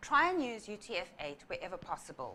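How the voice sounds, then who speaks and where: A woman speaks at a moderate pace in a fairly high pitch with a bright, sharp tone. Her pitch swings very widely. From South Africa. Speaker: software developer. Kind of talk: tech talk presentation. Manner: clear, explanatory.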